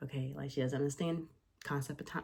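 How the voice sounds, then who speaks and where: A woman with an American accent speaks at a fairly quick pace in a very deep, low pitch, her voice somewhat breathy. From US South (Georgia). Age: 20s. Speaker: YouTuber and mom. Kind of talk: casual Q&A vlog. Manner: casual, filler-heavy.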